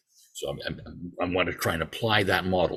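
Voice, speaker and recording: In a very clean recording with a silent background, a man with a Canadian accent speaks at a moderate pace. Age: 60s. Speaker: amateur radio regulatory affairs officer. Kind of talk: presentation to a club.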